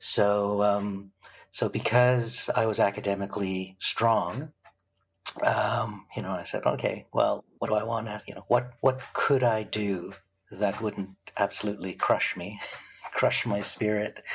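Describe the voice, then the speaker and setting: A man with a Canadian accent and a normal speaking voice, fairly low in pitch, fairly slow and fairly even in intonation. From Canada. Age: 60s. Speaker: film producer. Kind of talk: interview.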